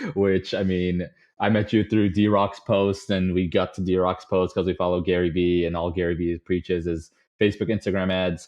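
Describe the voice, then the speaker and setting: With a Chicago accent, a man speaks at a moderate pace in a very deep, low voice with monotone, flat intonation. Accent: Chicago-area American. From US Midwest, Chicago suburbs. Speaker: podcast guest, data analyst. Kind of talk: casual interview chat. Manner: many filler words (um, uh).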